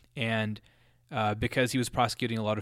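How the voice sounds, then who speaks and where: The speaker has a General American accent, captured in a very clean recording with a silent background. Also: man. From US, Colorado. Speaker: student podcaster. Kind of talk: solo monologue. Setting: home basement. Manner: casual, many fillers and self-repeats.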